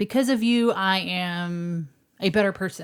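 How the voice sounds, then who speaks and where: A woman's medium-pitched voice with a slight Texas accent and ordinary pitch variation. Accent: slight Texas twang. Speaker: podcast co-host. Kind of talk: casual chat.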